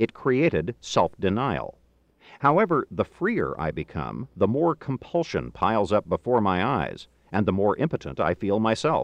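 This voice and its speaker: Vocal fry marks a man's medium-pitched voice, which shows very wide pitch swings at a moderate pace. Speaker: audiobook narrator. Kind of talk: audiobook reading of a philosophical text, scripted narration.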